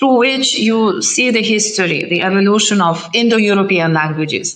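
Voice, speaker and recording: A woman with a fairly high pitch and a Lithuanian accent speaks at a fairly slow pace, with audible room echo around her. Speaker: ambassador. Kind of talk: interview. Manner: halting.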